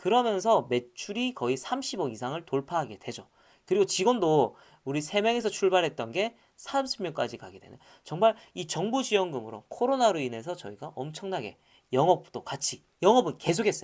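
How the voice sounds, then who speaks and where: A high-pitched man's fairly quick speech with very wide pitch swings and big swings in loudness. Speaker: startup lecturer. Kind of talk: lecture. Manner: casual, animated.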